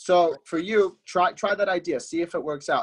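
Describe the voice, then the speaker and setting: The background is quiet. A man speaks at a high pitch. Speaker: forex trading coach. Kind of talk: webinar Q&A. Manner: fast; casual, animated.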